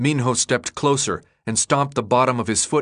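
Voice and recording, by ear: Against a quiet background, the speaker is reading aloud in a natural voice with fairly even intonation.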